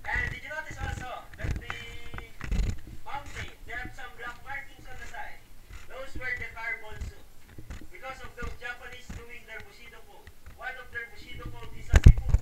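The speaker talks at a moderate pace with long, frequent pauses over loud background noise. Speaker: tour guide. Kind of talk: guided tour commentary. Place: tunnel cave. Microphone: camera far.

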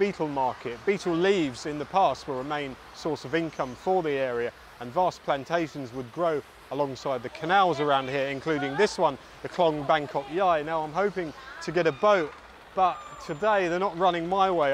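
A man at a moderate pace with ordinary pitch variation, dry with no echo and light background noise. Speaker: presenter. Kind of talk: travel vlog narration to camera. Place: waterside. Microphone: lapel.

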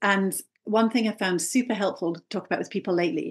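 With a quiet background, a woman in an ordinary speaking voice talks at a fairly quick pace, her medium pitch showing ordinary pitch variation. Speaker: brand strategy coach. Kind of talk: casual interview chat.

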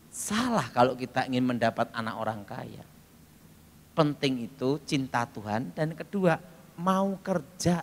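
The speaker is a man with lively intonation. He talks at a fairly slow pace. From Indonesia. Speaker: preacher. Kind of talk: sermon with audience call-and-response. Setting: talkshow, studio with audience. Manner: animated; humorous, storytelling. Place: church. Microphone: handheld.

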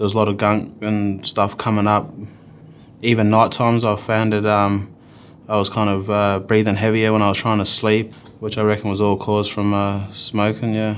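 Against light background noise, a man talks in a fairly low pitch with flat, monotone intonation. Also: moderate pace, very even loudness. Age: 20s. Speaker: ex-smoker ambassador. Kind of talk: testimony; interview answer. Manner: halting. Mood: sombre, reflective. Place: studio.

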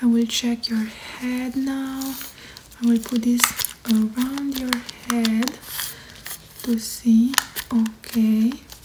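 A woman's high-pitched, monotone, flat voice at a very slow pace, with long, frequent pauses and noticeable background noise. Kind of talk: soft role-play exam talk. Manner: soft, hushed ASMR bedside voice. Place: home room. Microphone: phone near.

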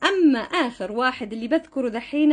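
A woman's high pitch with very wide pitch swings. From Yemen, father from Hodeidah; Yemen. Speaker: social media content creator; vlogger. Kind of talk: vlog monologue addressing commenters. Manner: animated, confrontational. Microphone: phone near.

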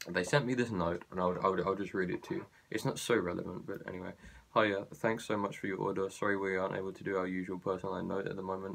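Speaking at a very fast pace, a man with a very deep, low pitch keeps his intonation fairly even. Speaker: vlogger. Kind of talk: casual vlog chat, complaint. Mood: annoyed, sarcastic. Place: home room. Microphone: phone near.

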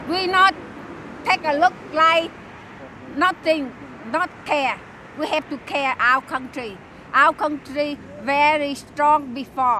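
In a raised, projected voice with a Vietnamese accent, a woman speaks at a very slow pace with long, frequent pauses, a high pitch and ordinary pitch variation, the sound dry with no echo over light background noise. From South Vietnam. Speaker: torture survivor, protester; interviewee. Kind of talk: street interview. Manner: halting; impassioned. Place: open country. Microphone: handheld.

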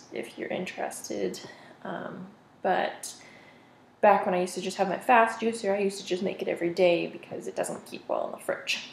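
Over light background noise and audible room echo, a woman speaks in a monotone, flat intonation. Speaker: home vlogger. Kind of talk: casual vlog chat. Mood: relaxed, friendly. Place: kitchen. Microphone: camera far.

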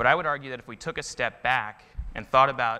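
A man delivers his words at a very fast pace in a bright, sharp tone. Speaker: presenter. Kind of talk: conference talk. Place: stage. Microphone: lapel.

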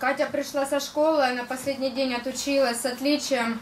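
A woman speaks at a high pitch in a monotone, flat intonation. Her pace is fairly slow over light background noise. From Donbas, eastern Ukraine; Ukraine. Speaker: war victim giving testimony. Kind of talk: testimony talk through interpreter. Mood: grave, emotional retelling. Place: meeting room.

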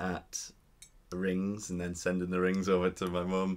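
A man talks at a fairly slow pace in a very deep, low pitch, his intonation monotone and flat. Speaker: vlogger telling a story. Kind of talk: casual storytime vlog chat. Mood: happy, smiling. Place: home room. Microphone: camera far.

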